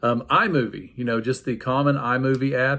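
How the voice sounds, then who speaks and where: A man speaks in an ordinary speaking voice at a medium pitch and a moderate pace, with fairly even intonation. The recording is very clean, with a silent background. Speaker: PE teacher. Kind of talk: tutorial. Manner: casual, many fillers.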